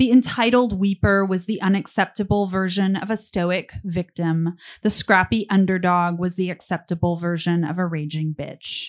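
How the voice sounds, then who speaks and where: A woman with an unremarkable speaking voice keeps her intonation fairly even, speaking at a medium pitch and a moderate pace. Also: hardly any pauses. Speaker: essayist. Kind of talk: reading aloud. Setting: bar stage with live audience.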